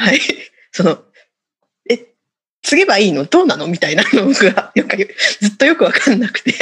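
A woman's high voice at a moderate pace, with very wide pitch swings and long, frequent pauses. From Hokkaido, Shiribeshi area. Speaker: Buddhist temple vice-priest. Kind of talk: casual chat.

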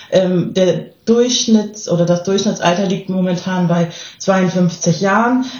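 A woman's somewhat breathy, medium-pitched voice, very slow and fairly even in intonation, with audible room echo. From southern Germany. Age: 30s. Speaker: volunteer agency staff member. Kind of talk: casual interview.

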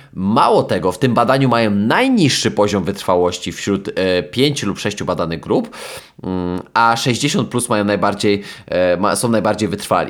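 A man talks in an ordinary speaking voice at a moderate pace. His pitch sits fairly low, with ordinary variation. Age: 20s. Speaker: sports psychologist and podcast host. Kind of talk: solo podcast monologue. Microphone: new microphone.

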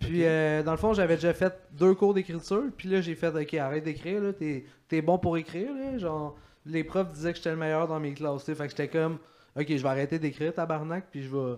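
Speaking with a Quebec accent at a fairly quick pace, a man uses a fairly high pitch with ordinary pitch variation. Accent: Québécois French. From Quebec, Saint-Hyacinthe. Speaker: comedian. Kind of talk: casual chat. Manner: animated.

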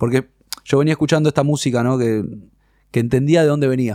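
A man speaks at a medium pitch in a dark, mellow tone. His intonation is fairly even, and the sound is dry and close with no echo. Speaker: rock musician. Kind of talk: casual interview conversation.

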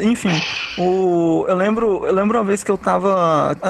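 Noticeable background noise sits under a man speaking in an animated tone at a high pitch. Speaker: podcast host. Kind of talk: casual chat.

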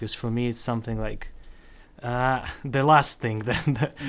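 Speaking at a moderate pace, a man keeps a medium pitch with monotone, flat intonation. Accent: Belarusian. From Belarus. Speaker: student podcast member. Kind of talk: casual chat. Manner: joking.

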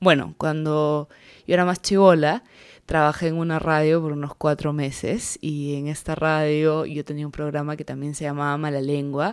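Over a very clean recording with a silent background, a woman speaks at a moderate pace in a very deep, low pitch with monotone, flat intonation. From Peruvian Amazon. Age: 20s. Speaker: podcaster and social media creator. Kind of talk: podcast trailer monologue.

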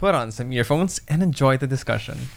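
A man with a Filipino accent, fairly high pitch, lively intonation and moderate pace, in a very clean recording with a silent background. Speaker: podcast host. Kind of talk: casual chat. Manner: code-switching Taglish.

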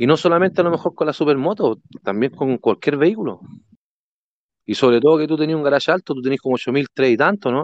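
Very fast, lively speech in a Chilean accent, dry and close with no echo, over a quiet background. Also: man, fairly high pitch for a man. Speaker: gamer. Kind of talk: casual chat.

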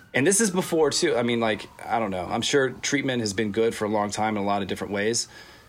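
With an American accent, a man talks at a medium pitch and a very fast pace. His intonation is lively, and he hardly pauses at all. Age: 30s. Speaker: recovering addict sharing his story. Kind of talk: casual interview, personal testimony.

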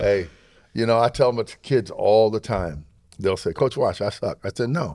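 A man speaks at a medium pitch with an American accent. His voice carries vocal fry. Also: very clean recording, silent background. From upstate New York. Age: 60s. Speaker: high school coach and teacher. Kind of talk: casual chat. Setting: gym.

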